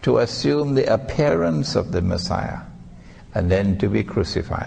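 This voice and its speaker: A man speaks at a fairly slow pace with lively intonation and a somewhat breathy voice, and there is audible room echo. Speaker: Islamic scholar and preacher. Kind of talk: religious lecture.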